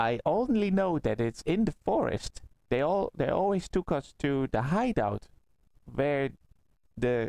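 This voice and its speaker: A man's put-on character voice, fairly high in pitch and fairly slow in pace. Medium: actual play. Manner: refers to himself in third person, halting.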